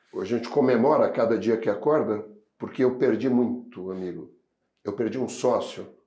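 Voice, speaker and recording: Audible room echo surrounds a man's dark, mellow tone. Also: medium pitch for a man, ordinary pitch variation, moderate pace. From southern Brazil (Rio Grande do Sul, Pelotas). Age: 60s. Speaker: logistics association executive. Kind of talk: podcast interview.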